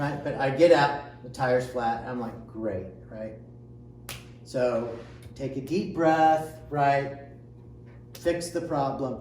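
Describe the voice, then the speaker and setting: A man at medium pitch with an American accent, very slow pace, long and frequent pauses, big swings in loudness and ordinary pitch variation, amid audible room echo and noticeable background noise. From Indiana, US Midwest. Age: 60s. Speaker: amateur triathlete. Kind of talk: casual interview chat. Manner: hesitant with many filler sounds.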